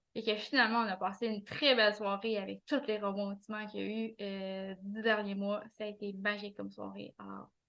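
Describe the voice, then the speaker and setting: Delivered with a Quebec accent, the speech runs with hardly any pauses, in a monotone, flat intonation with big swings in loudness. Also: woman, medium pitch for a woman. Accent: Québécois French. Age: 40s. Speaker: administrative assistant and author. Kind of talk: interview. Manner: halting, many hesitations.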